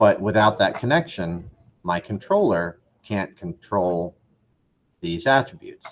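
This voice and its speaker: In an ordinary speaking voice, a man talks at a moderate pace. His pitch is fairly low, with ordinary pitch variation. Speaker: 3D animation instructor. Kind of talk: tutorial. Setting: classroom.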